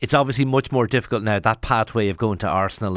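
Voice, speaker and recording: A man speaks very fast in an Irish accent, with a fairly low pitch and ordinary pitch variation. The sound is dry and close with no echo, and the recording is very clean with a silent background. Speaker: radio sports presenter. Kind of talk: radio interview.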